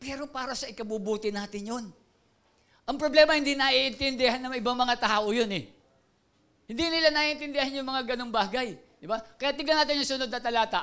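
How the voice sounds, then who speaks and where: A man's raised, projected voice at an extremely high pitch, fairly quick, with ordinary pitch variation against a quiet background. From Philippines. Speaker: pastor. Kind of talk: sermon. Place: church. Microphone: handheld.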